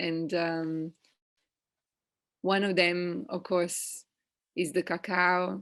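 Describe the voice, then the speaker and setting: A woman speaks in a flat monotone at a fairly low pitch, very slowly. She leaves long, frequent pauses against a quiet background. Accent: Italian. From Italy. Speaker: evolutionary ecologist. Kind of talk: interview answer.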